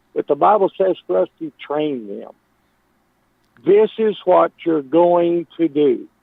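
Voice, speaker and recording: Speaking very slowly in a Texan accent, a man uses a high pitch. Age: 70s. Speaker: caller. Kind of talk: phone-in call.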